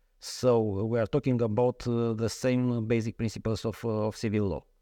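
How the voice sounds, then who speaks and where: A man with a Romanian accent and a dark, mellow tone, in a dry, close sound with no echo against a quiet background. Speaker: lawyer. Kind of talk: interview. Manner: halting.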